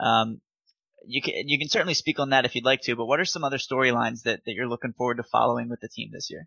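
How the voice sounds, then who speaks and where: A man talks very fast at a medium pitch with vocal fry. His pitch varies in an ordinary way. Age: 20s. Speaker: podcast host. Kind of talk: interview.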